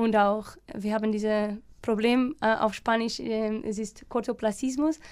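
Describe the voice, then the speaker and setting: A woman speaks with a Portuguese accent at a fairly high pitch. Her pace is fairly slow. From Portugal, Alcobaça (west coast). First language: Portuguese (speaking German). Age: 30s. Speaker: environmental NGO worker. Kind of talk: radio interview. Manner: halting, many fillers and repetitions.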